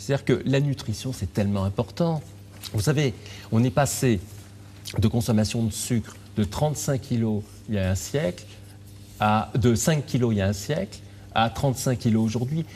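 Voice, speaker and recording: With a dark, mellow tone and a somewhat breathy sound, a man of medium pitch talks at a moderate pace, using ordinary pitch variation and long, frequent pauses. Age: 60s. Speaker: physician and author. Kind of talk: interview.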